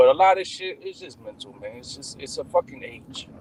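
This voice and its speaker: A normal speaking voice with lively intonation at a moderate pace. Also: man. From Cuban-American. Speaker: live stream host. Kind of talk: casual chat.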